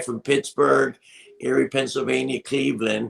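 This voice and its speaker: A man speaks at a medium pitch with vocal fry. His pace is fairly slow. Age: 60s. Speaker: wrestling manager. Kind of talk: casual interview.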